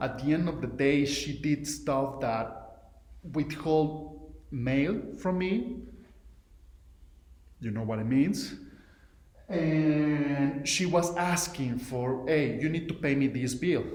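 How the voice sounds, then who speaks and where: In a Mexican accent, a man with a fairly high pitch and ordinary pitch variation speaks very slowly, with long, frequent pauses and audible room echo. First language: Spanish. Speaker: entrepreneur. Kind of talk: recorded video message. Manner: halting, many fillers and restarts.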